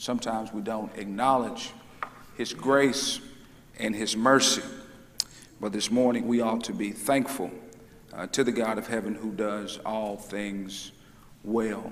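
A man's fairly slow delivery with long, frequent pauses. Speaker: preacher. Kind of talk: sermon. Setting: church. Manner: animated. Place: church. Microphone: lapel.

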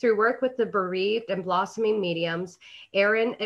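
The woman's intonation is fairly even at a moderate pace. The background is quiet. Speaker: interview show host. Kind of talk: guest introduction read aloud. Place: home room. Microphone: video call.

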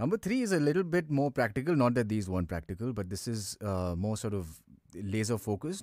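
Very fast speech from a man at a medium pitch, with very wide pitch swings. The recording is very clean, with a silent background. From India, Pune. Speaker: voice actor. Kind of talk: casual chat. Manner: effortless, relaxed.

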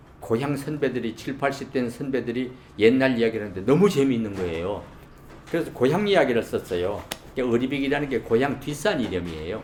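A man's medium-pitched voice, lively intonation and fairly quick pace amid noticeable background noise. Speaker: retired broadcast announcer. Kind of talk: interview answer. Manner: storytelling, humorous, soft-spoken.

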